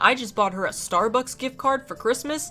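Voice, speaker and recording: A woman's voice over noticeable background noise. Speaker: gaming youtuber. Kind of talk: gameplay commentary storytime.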